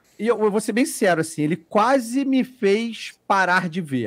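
On a very clean recording with a silent background, a man speaks at a fairly slow pace in a high pitch with very wide pitch swings. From Brazil, Petrópolis (Rio de Janeiro state). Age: 40s. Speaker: podcast guest, TV worker. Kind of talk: casual chat.

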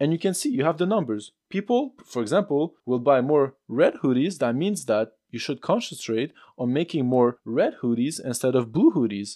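Someone with a non-native accent speaks at a moderate pace with hardly any pauses, a dark, mellow tone and lively intonation. The recording is very clean with a silent background, and the sound is dry and close with no echo. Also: man, fairly high pitch for a man. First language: not English. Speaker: podcast host. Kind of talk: solo motivational monologue. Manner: casual, conversational, informal.

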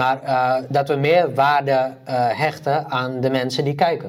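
Fairly high male speech in a flat, monotone delivery. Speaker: podcast co-host. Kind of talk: casual chat.

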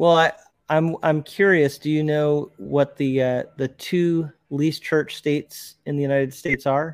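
At a fairly slow pace, a man talks in an ordinary speaking voice, fairly high in pitch with fairly even intonation. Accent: American. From New Jersey, US. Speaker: YouTuber and ministry worker. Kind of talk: casual interview.

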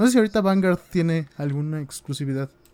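In a Mexican accent, a man speaks with a dark, mellow tone. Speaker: gaming podcast co-host. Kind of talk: casual chat. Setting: live stream.

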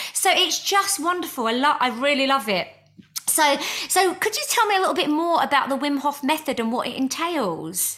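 Over noticeable background noise, a woman talks at a moderate pace with a high pitch and lively intonation. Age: 40s. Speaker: podcast host and spiritual healer. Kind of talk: casual interview chat. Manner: animated.

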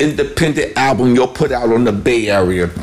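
A man speaks in an animated tone. Noticeable background noise is audible behind him. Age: 60s. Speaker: podcast host. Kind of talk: casual interview.

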